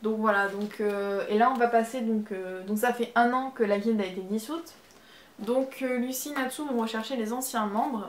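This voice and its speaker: Fairly high in pitch, a woman with a slight Marseille accent speaks at a moderate pace with fairly even intonation. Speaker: manga YouTuber. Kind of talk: casual video review. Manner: hesitant, many fillers.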